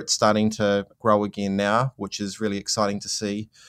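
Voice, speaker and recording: A man with a New Zealand accent speaks at a moderate pace in a dry, close sound with no echo. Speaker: investing platform co-founder. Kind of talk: interview. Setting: remote interview from managed isolation in Auckland.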